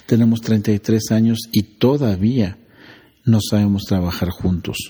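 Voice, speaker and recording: The man's fairly low pitch carries a dark, mellow tone and fairly even intonation. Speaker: emergency physician and researcher. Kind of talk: interview.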